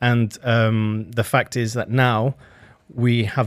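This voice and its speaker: A man at a medium pitch on a very clean recording with a silent background. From Venezuela, later UK. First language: Spanish. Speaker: chef. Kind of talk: radio interview. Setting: radio studio. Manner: halting, many fillers.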